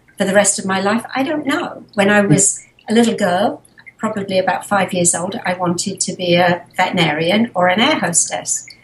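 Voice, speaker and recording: Speaking at a moderate pace with an English accent, a woman uses a medium pitch and ordinary pitch variation. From England, Harrow. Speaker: animal sanctuary founder. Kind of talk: interview.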